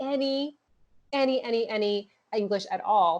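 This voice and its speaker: In a Miami accent, a woman speaks at a fairly high pitch with ordinary pitch variation. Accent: Miami American English. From Miami, Cuban-American family. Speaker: entrepreneur, founder of a women's networking group. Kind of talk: interview. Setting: podcast.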